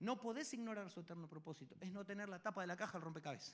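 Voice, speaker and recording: The man's voice sits high in pitch and moves with ordinary pitch variation. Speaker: pastor. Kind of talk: sermon. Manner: fast.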